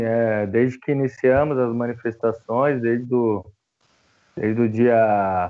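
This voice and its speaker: A man speaks with fairly even intonation. His is an unremarkable speaking voice. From São Paulo, Brazil (north zone periphery). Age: 20s. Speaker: theologian and antifascist activist. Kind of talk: interview conversation.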